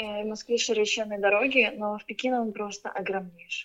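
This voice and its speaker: This woman has an ordinary speaking voice, pitched fairly high and delivered at a moderate pace. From Ukraine. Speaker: artist and marketer. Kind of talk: casual interview chat.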